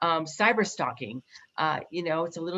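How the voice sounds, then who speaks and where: A woman talks in a fairly low pitch with ordinary pitch variation. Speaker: speaker on domestic terrorism. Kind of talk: presentation with slides. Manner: fast.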